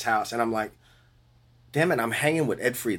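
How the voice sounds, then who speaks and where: A man speaks with a New Orleans accent. His pitch sits in the medium range. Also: very clean recording, silent background. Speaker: bass player. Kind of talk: interview. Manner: animated.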